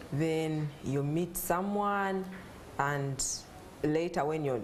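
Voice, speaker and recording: Speaking at a very slow pace, a woman uses a very deep, low pitch and ordinary pitch variation, with audible room echo and noticeable background noise. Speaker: mother sharing infertility story. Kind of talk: talk show interview.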